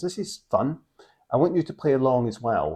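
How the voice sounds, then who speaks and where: A man with a Scottish accent speaks at a medium pitch with a dark, mellow tone. His pitch swings very widely. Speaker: board game channel host. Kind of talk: casual to-camera presentation.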